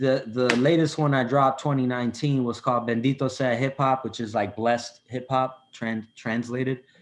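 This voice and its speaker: Noticeable background noise sits behind a man with a Chicago accent. He speaks at a moderate, medium-pitched, monotone flow with hardly any pauses. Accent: Chicago American English. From Chicago, US. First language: Spanish. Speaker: rapper. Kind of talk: casual chat. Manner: halting.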